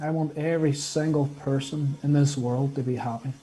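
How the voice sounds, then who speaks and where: Breathing through his words somewhat, a man speaks at a fairly high pitch with a dark, mellow tone. His intonation is monotone and flat. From Northern Ireland. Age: 20s. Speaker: guest, health care student. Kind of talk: casual interview chat.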